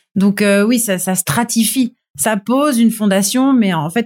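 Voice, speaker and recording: A woman speaks in a plain, everyday voice. The recording is very clean, with a silent background. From Toulon, southern France. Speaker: TV screenwriter and showrunner. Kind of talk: casual interview.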